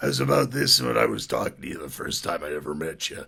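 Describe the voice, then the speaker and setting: A man's put-on character voice, raspy and very deep, at a very fast pace, with lively intonation and big swings in loudness. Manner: imitating how he sounded when they first met.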